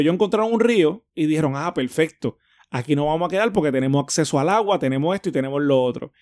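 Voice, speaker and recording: On a very clean recording with a silent background, a man speaks in a normal speaking voice at a fairly high pitch with ordinary pitch variation. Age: 30s. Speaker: podcast co-host. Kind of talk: casual chat.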